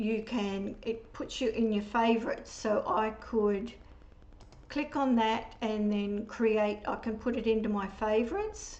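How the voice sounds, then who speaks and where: In a room with audible echo, a woman with an Australian accent and a fairly high pitch speaks at a fairly slow pace in a monotone, flat intonation. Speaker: papercraft demonstrator. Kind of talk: product demonstration tutorial.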